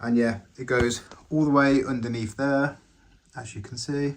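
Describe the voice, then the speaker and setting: Speaking at a fairly slow pace, a man with an English accent uses a fairly high pitch and ordinary pitch variation. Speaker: Lego builder YouTuber. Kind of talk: casual video tutorial showcase. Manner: energetic; rambling.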